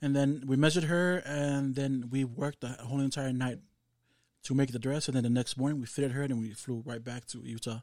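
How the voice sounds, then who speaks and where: Here a man with a Samoan accent talks fairly quickly. His pitch is medium and his intonation fairly even. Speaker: fashion designer. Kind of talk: casual interview.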